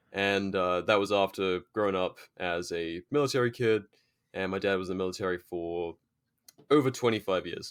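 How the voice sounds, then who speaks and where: A man with an English accent is heard on a very clean recording with a silent background. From England. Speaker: British Army veteran. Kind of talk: casual interview chat.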